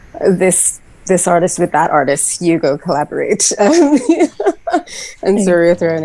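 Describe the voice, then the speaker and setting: A woman with a fairly low pitch and ordinary pitch variation speaks over noticeable background noise. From Trinidad. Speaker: musician, solo artist. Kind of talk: podcast interview.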